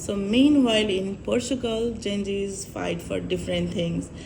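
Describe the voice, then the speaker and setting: A woman speaks at a fairly slow pace in a Nepali accent. Some room echo can be heard. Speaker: vlogger. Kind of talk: vlog monologue.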